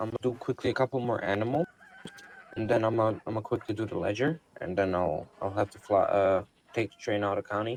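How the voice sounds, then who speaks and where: A man at medium pitch and very fast pace, with ordinary pitch variation, big swings in loudness, a dry, close sound with no echo and noticeable background noise. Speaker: roleplay gamer. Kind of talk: in-character roleplay conversation. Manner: hesitant, filler-heavy.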